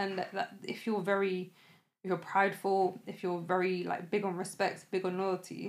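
In a London accent, a woman speaks at a medium pitch. Her intonation is monotone and flat, and her pace is moderate. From West London (Shepherd's Bush), North African family. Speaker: podcast host. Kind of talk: casual chat.

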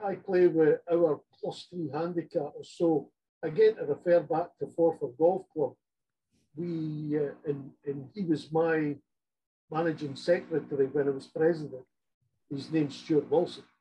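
A man talks at a fairly slow pace in a dark, mellow tone with fairly even intonation. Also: fairly high pitch for a man. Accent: Scottish. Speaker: golf grip inventor. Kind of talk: interview.

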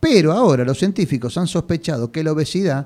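This man has a dark, mellow tone and lively intonation, recorded very cleanly against a silent background. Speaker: radio journalist. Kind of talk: radio news reading and interview. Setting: radio studio.

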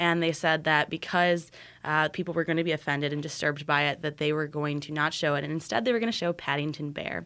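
A woman talks very fast in a very deep, low voice with a bright, sharp tone and fairly even intonation. The recording is very clean, with a silent background. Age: 20s. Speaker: university student and activist. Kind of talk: interview.

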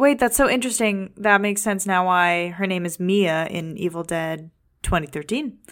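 Ordinary pitch variation runs through a woman's normal speaking voice. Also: very clean recording, silent background. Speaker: podcast co-host. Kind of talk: casual chat. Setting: studio.

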